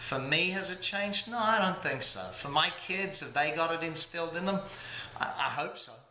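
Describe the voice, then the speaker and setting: With an Australian accent, a man speaks at a high pitch and a moderate pace with ordinary pitch variation, amid noticeable background noise and audible room echo. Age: 40s. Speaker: entrepreneur, business coach founder. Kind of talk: interview monologue.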